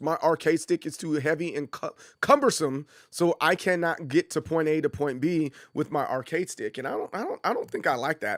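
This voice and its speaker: A man with an unremarkable speaking voice talks at a fairly quick pace and fairly high pitch, in a very clean, dry, close recording with no echo and a silent background. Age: 40s. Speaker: gaming streamer. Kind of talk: live stream casual talk. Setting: live stream.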